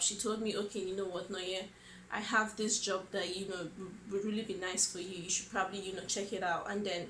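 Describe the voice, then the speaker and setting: A woman of medium pitch with a Nigerian accent, audible room echo around her voice. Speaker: vlogger. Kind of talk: personal storytelling vlog. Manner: hesitant, many fillers.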